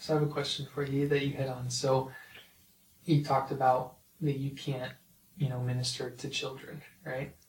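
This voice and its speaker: A somewhat breathy man at a moderate pace, with monotone, flat intonation and long, frequent pauses. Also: fairly high pitch for a man. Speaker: podcast host. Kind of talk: interview.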